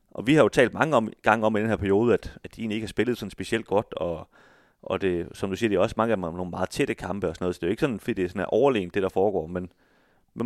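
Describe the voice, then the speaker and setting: Very fast and fairly low-pitched, a man talks with ordinary pitch variation in a dry, close sound with no echo. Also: very clean recording, silent background. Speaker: football podcast co-host. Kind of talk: casual chat. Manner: stammers on names.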